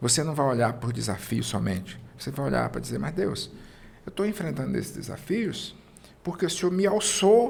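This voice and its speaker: A man talks at a moderate pace, and audible room echo is heard around him. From Brazil, interior of Maranhão. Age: 50s. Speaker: entrepreneur. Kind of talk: interview. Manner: calm, serene.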